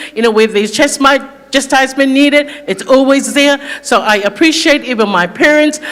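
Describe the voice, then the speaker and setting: Noticeable background noise behind a woman with a high pitch, ordinary pitch variation and a fairly quick pace. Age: 50s. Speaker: church elder. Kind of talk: testimony. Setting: church.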